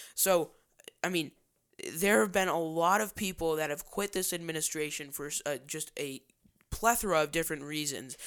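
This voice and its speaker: A man with a plain, everyday voice, fairly high in pitch, speaks at a moderate pace with ordinary pitch variation in a very clean recording with a silent background. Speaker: podcast host. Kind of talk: political podcast co-host patter, promoting the show and teasing upcoming segments. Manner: fluent radio-style delivery with many filler 'uh's and restarts; upbeat, announcer-like, with teasing segment lead-ins.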